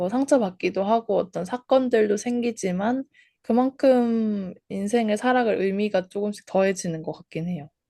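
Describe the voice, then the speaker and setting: Against a quiet background, a woman talks in a dark, mellow tone with a fairly high pitch and ordinary pitch variation. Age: 20s. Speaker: podcast co-host. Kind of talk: casual chat.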